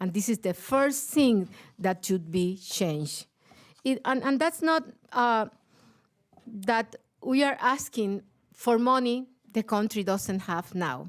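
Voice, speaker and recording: With a Puerto Rican accent, a woman speaks at a very slow pace with lively intonation and long, frequent pauses on a very clean recording with a silent background. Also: fairly high pitch for a woman. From Puerto Rico. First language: Spanish. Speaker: teachers' union leader. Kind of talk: panel talk. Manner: halting.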